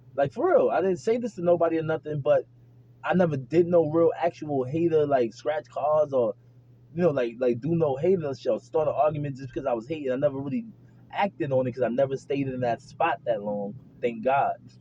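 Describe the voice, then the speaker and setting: Somewhat breathy, a man talks at a fairly quick pace in a fairly high pitch. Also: ordinary pitch variation. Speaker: vlogger. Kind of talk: casual monologue to camera. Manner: animated.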